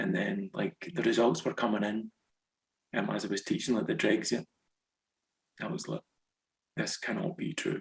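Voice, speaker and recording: A man's fairly high voice with vocal fry and a west central Scottish accent, very wide pitch swings, a moderate pace, long, frequent pauses, and a dry, close sound with no echo. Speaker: author, former teacher in Japan. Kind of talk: interview.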